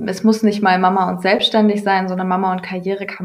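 Her voice sits at a medium pitch. The woman speaks in a monotone, flat intonation. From Ruhr area, Germany. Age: 30s. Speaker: yoga and mindfulness entrepreneur. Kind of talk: interview.

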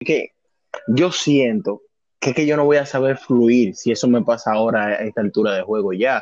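At a moderate pace, a man speaks in a plain, everyday voice at a medium pitch, with ordinary pitch variation and very even loudness. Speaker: podcast co-host. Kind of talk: casual chat.

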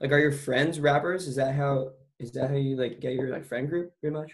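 The man talks at a fairly quick pace with a fairly high pitch. He has a normal speaking voice. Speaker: podcast host. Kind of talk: casual interview chat.

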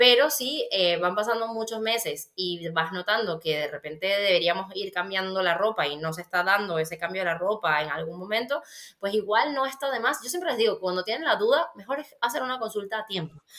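A woman speaks with a Venezuelan accent. She goes at a fairly quick pace with hardly any pauses. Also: medium pitch for a woman. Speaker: pediatric dietitian and author. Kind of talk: casual interview chat.

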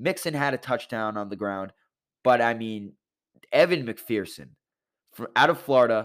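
On a very clean recording with a silent background, a man speaks at medium pitch and a moderate pace, his tone animated and his intonation lively. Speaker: sports podcast host. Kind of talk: solo sports talk podcast. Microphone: new microphone.

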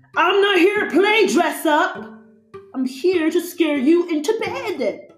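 A put-on character voice growls at an extremely high pitch. The pace is fairly slow, with faint music in the background. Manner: snarling.

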